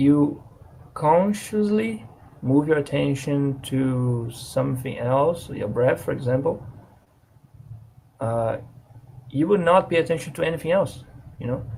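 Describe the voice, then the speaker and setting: A fairly high-pitched man with a non-native accent, ordinary pitch variation and a fairly slow pace broken by long, frequent pauses. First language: not English. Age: 20s. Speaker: vlogger. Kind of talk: casual monologue to camera. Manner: halting, with restarts and fillers.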